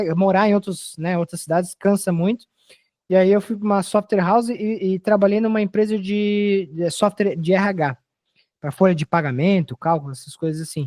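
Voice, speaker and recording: Against a quiet background, a man with a high pitch speaks at a moderate pace in a dry, close sound with no echo. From Brazil. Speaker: software developer. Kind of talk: casual interview chat.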